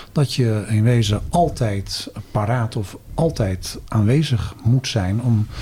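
Against noticeable background noise, a man speaks at a very slow pace with hardly any pauses, using a medium pitch and ordinary pitch variation. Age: 50s. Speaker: career counselling lecturer and researcher. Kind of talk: casual interview.

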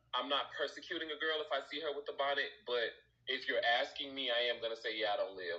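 A man with an American accent talks at a very fast pace. Noticeable background noise runs behind him. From Chicago. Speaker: hair stylist. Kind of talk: casual chat. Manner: animated.

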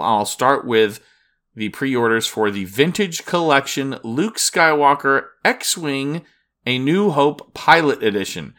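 Lively intonation and a bright, sharp tone at a fairly slow pace, on a very clean recording with a silent background. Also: man. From Florida. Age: 40s. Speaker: podcast host. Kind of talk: solo news podcast.

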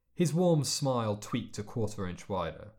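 Here is an unforced reading voice. The intonation is lively.

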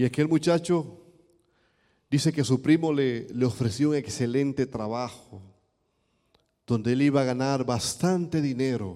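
A man's dark, mellow voice with ordinary pitch variation and long, frequent pauses. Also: medium pitch for a man, fairly slow pace. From Dominican Republic, east. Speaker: pastor. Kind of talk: sermon. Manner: animated.

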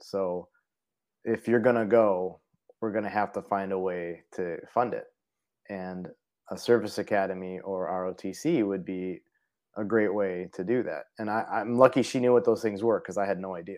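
An ordinary speaking voice with an American accent moves at a moderate pace with fairly even intonation, on a very clean recording with a silent background. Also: man, fairly low pitch for a man. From Parma, Cleveland, Ohio. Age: 40s. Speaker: Air Force veteran and foundation vice president. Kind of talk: interview conversation.

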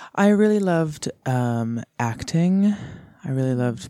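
A man in a Canadian accent talks at a fairly slow pace in a dark, mellow tone, recorded dry and close with no echo, very clean, with a silent background. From Kamloops, British Columbia, Canada. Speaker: radio show guest. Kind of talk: casual chat. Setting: radio studio.

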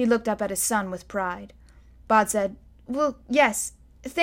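The pitch shifts in an ordinary way throughout this unforced reading voice.

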